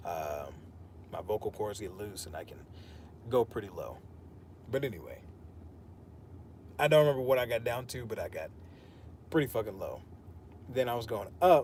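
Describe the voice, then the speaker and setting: Using vocal fry, a medium-pitched man speaks at a moderate pace with lively intonation, long, frequent pauses and big swings in loudness. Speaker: fitness streamer. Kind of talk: casual chat during workout livestream. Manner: quiet when speaking naturally.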